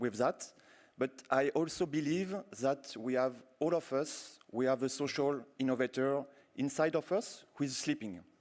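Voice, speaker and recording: This man has a French accent and speaks at medium pitch with ordinary pitch variation. His pace is fairly slow, and the recording is very clean with a silent background. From France. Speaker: university program director, keynote speaker. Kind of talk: keynote speech.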